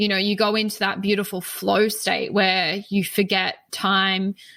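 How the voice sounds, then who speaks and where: In an Australian accent, a woman speaks at a moderate pace with a bright, sharp tone, medium pitch and flat, monotone intonation on a very clean recording with a silent background. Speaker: spiritual teacher. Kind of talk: podcast interview.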